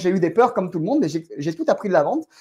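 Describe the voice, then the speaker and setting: A man speaks at a very fast pace in a high pitch with a dark, mellow tone and very wide pitch swings, on a very clean recording with a silent background. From France. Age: 40s. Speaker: real estate entrepreneur. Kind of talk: podcast interview.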